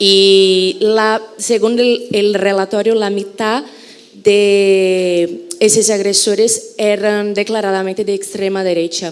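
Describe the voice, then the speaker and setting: Amid noticeable background noise and audible room echo, a woman speaks very slowly at a medium pitch in a monotone, flat way. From Brazil. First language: Portuguese (speaking Spanish). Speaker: journalist, audience member asking a question. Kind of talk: audience question at a conference.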